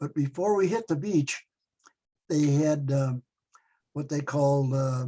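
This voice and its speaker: With a Chicago accent, a man speaks at a fairly slow pace in a fairly high pitch, his tone dark, mellow and somewhat breathy, with ordinary pitch variation. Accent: Chicago American English. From US Midwest, Chicago. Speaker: war veteran. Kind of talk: oral history interview. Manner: halting, many fillers and repetitions.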